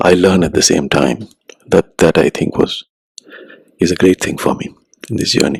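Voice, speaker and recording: A man with a very deep, low pitch speaks in a gentle tone at a moderate pace. The sound is dry and close, with no echo. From India, Ahmedabad. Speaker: writer and musician. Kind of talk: interview.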